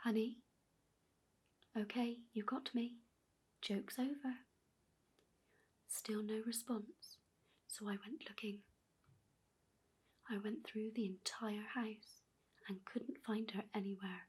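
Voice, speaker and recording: Soft-spoken delivery at a very slow pace, marked by long, frequent pauses. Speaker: ASMR storyteller. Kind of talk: creepypasta horror story reading.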